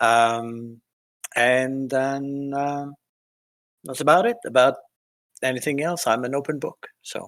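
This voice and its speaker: Here a man speaks at a very slow pace with long, frequent pauses. His voice is fairly high, with ordinary pitch variation. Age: 60s. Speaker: tabletop game player. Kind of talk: self-introduction in casual chat. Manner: hesitant, many fillers.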